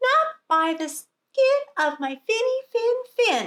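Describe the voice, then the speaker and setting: Using a squeaky put-on character voice, a woman talks at an extremely high pitch with very wide pitch swings and a very slow pace. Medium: read story.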